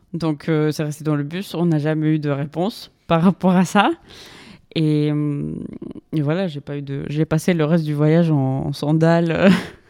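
With a very deep, low pitch and a dark, mellow tone, a woman speaks fairly slowly in a fairly even intonation. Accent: Spanish. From Colombia, Bogotá. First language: Spanish (speaking French). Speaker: graduate student. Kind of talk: casual chat. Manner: halting.

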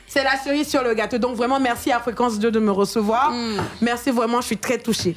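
Noticeable background noise sits under a woman's high voice at a fairly quick pace. Her intonation is fairly even and her loudness very even. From Côte d'Ivoire. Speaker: singer. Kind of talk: radio interview.

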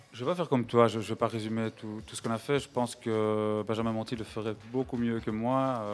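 Here a man speaks at a fairly quick pace with hardly any pauses. His medium-pitched voice keeps a fairly even intonation. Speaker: event organiser hosting radio. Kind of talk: live radio hosting. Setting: live broadcast inside a sculpture at a museum. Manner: hesitant. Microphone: echo.

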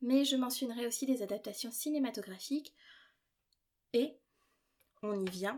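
The woman's pitch is high, with ordinary variation. She talks fairly slowly and leaves long, frequent pauses. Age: 20s. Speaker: podcast host and doctoral student in literature. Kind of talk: solo podcast monologue. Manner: casual, light tone.

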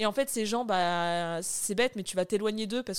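A woman of medium pitch speaks in an unremarkable speaking voice. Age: 30s. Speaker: dietitian. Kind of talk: interview testimony.

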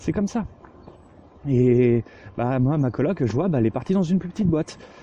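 A man, with noticeable background noise. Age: 20s. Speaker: podcast co-host. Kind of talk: recorded audio monologue.

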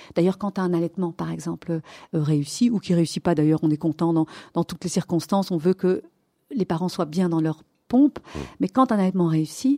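Fairly low in pitch, a woman speaks at a fairly quick pace with a dark, mellow tone and ordinary pitch variation. The recording is very clean and silent behind her, with a dry, close sound and no echo. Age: 50s. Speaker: pediatrician. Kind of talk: interview. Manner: animated.

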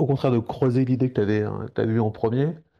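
Speaking at a very fast pace, the man keeps a medium pitch. His intonation stays fairly even. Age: 50s. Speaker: freelance graphic designer. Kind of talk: interview.

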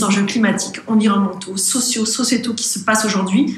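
Heard through audible room echo and noticeable background noise, a woman speaks at a medium pitch. Her intonation stays fairly even. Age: 40s. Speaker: consultancy founder and CEO. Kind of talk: podcast interview. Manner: hesitant, many fillers and repetitions.

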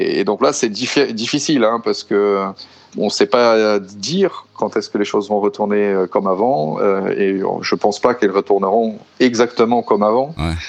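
A man speaks at a moderate pace. His fairly low voice has ordinary pitch variation. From Brazil, São Paulo. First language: Portuguese (speaking French). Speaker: father living abroad. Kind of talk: interview testimony. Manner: halting, many hesitations.

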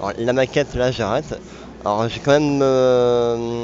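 Medium-pitched male voice at a fairly slow pace, with noticeable background noise. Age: 20s. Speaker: graphic designer and retro gaming organizer. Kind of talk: interview.

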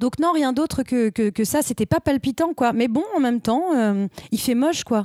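A woman's high-pitched voice, dark and mellow in tone, with lively intonation and very even loudness, dry and close with no echo. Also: moderate pace. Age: 30s. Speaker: stage actress. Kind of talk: casual chat. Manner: hesitant, many fillers.

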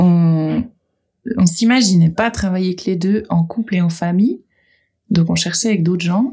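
Speaking at a fairly slow pace with long, frequent pauses, a woman has a medium-pitched, somewhat breathy voice with a dark, mellow tone and ordinary pitch variation. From Geneva, Switzerland. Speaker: goat farmer. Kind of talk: casual chat.

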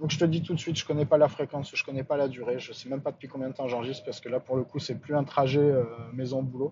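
A man's fairly high, somewhat breathy voice at a very fast pace, monotone, flat intonation and big swings in loudness. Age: 40s. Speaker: podcaster. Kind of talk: casual monologue. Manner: halting.

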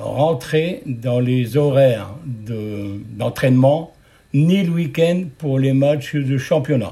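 Speaking at a very slow pace, a man with a fairly high pitch has a dark, mellow tone that is somewhat breathy, with ordinary pitch variation. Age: 70s. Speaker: retired steelworker, club committee member. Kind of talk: interview.

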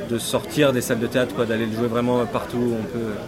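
Noticeable background noise and audible room echo accompany a man speaking at a moderate pace and medium pitch. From Jura, France. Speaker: stage actor. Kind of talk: interview.

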